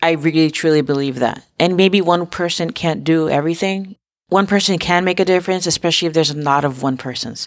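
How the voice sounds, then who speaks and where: With an American accent and an ordinary speaking voice, a woman talks at a fairly quick pace and fairly low pitch, with ordinary pitch variation, on a very clean recording with a silent background. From Harlem, New York City. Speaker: podcast host. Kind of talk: interview.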